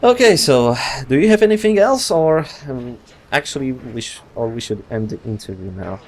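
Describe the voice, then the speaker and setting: Speaking at a moderate pace with a Polish accent, a man uses a medium pitch that swings very widely, while his loudness rises and falls sharply. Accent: Polish accent, non-native English. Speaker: gaming youtuber. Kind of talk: interview. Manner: halting, many fillers.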